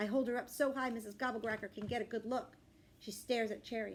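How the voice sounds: Intonation here remains fairly even. The speaker uses a natural reading voice.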